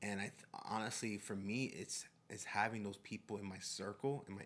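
Recorded very cleanly against a silent background, a man with a fairly low pitch speaks in a nervous, animated tone. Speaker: testimony-giving guest. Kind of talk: testimony.

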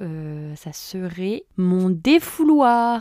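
On a very clean recording with a silent background, a woman speaks very slowly at medium pitch, her dark, mellow tone swinging very widely in pitch. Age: 20s. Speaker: podcaster and YouTuber. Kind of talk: casual solo monologue. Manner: hesitant with many fillers.

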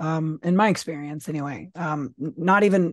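A woman with an American accent and a plain, everyday voice speaks at a fairly low pitch with fairly even intonation, the sound dry and close with no echo and the background quiet. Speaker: podcast co-host. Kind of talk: casual political discussion.

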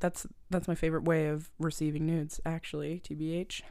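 Fairly low female pitch, captured on a very clean recording against a silent background. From Nova Scotia, Canada. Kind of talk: casual chat.

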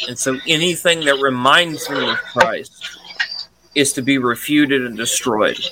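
A Mississippi accent at a fairly slow pace, with fairly even intonation and noticeable background noise. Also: man, fairly high pitch for a man. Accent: Southern US, Mississippi. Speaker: podcast co-host. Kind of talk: casual chat.

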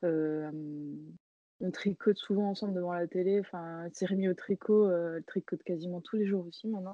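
The speaker has a normal speaking voice and a moderate pace. Intonation stays fairly even. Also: woman, medium pitch for a woman. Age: 30s. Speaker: knitting designer. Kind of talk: interview.

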